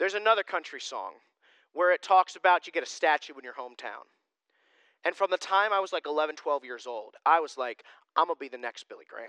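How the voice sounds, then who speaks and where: A man talks at a very fast pace with lively intonation. His high-pitched voice has a bright, sharp tone. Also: big swings in loudness, dry, close sound with no echo, quiet background. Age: 20s. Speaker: pastor. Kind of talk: sermon. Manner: casual conversational.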